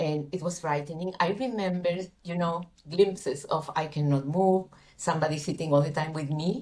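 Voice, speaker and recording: Somewhat breathy and fairly low in pitch, a woman with a Spanish accent speaks at a moderate pace with ordinary pitch variation. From Chile. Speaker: coach. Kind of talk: interview testimony. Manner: halting.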